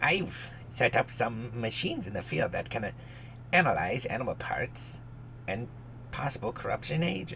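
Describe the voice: Over clear background noise, a man does a put-on character voice at a moderate pace.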